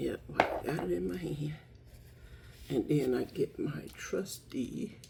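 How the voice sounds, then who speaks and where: Speaking at a very slow pace with long, frequent pauses, a woman is heard over noticeable background noise. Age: 60s. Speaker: lifestyle vlogger. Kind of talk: casual makeup tutorial. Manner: chatty, conversational.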